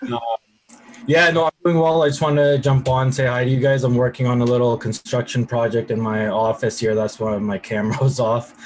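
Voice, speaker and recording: With a slight Canadian accent, the speaker moves at a fairly quick pace and shows ordinary pitch variation. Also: man. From Canada, Waterloo, Ontario. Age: 40s. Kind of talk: casual chat.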